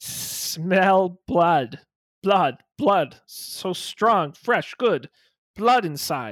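A raspy, put-on character voice at a middle pitch speaks very slowly. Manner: hungry, menacing.

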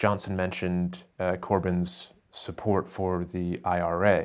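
A fairly low-pitched male voice with an American accent. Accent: American, transatlantic. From United States. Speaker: propaganda scholar and consultant. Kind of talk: political discussion.

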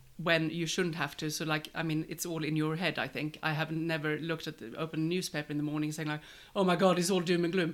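A woman with a Swedish accent speaks very fast in a very deep, low voice. Her intonation is monotone and flat, and the recording is very clean with a silent background. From Sweden. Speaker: catering business owner. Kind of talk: casual chat.

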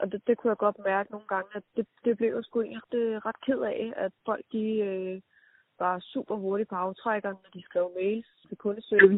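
A woman speaks in a flat, monotone delivery while her loudness swings widely. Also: medium pitch for a woman, moderate pace. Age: 30s. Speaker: entrepreneur. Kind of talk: interview. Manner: hesitant, many fillers.

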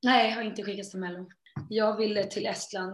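A woman talks at a fairly quick pace in a flat, monotone way. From Sweden. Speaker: singer. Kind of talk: interview.

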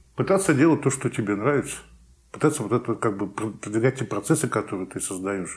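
A man talks at a fairly quick pace in a medium pitch. His voice is somewhat breathy, with lively intonation. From Saint Petersburg, Russia. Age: 50s. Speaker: real estate forum organizer. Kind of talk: interview. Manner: halting.

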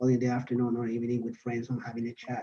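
A man talks with a Spanish accent. His pace is very fast. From Colombia. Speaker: PhD student and podcast host. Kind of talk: casual chat.

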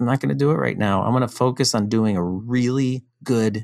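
A man with an ordinary speaking voice, medium pitch, lively intonation and moderate pace, on a very clean recording with a silent background. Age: 50s. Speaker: startup founder. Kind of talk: casual chat.

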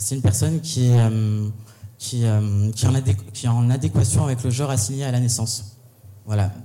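At a fairly slow pace, the speaker uses fairly even intonation, with audible room echo. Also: man, medium pitch for a man. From Paris region (Val-de-Marne). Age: 20s. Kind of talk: live panel discussion. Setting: stage with audience.

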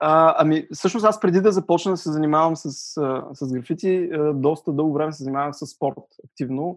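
A man at a fairly high pitch and moderate pace, ordinary pitch variation, big swings in loudness, quiet background. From Bulgaria, Sliven. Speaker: graphic designer and studio co-founder. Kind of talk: casual interview. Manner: hesitant, many fillers.

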